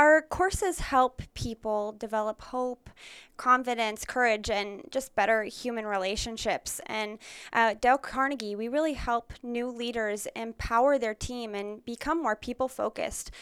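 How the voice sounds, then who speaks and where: A woman speaks at a moderate pace in a plain, everyday voice, pitched fairly high with ordinary variation. The sound is dry and close with no echo, and the recording is very clean over a silent background. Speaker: corporate training representative.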